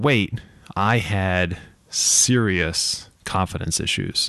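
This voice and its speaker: A man with an American accent speaks in an unremarkable speaking voice, with ordinary pitch variation. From Ohio, then Massachusetts from age 11. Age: 30s. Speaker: podcast host. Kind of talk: solo podcast monologue.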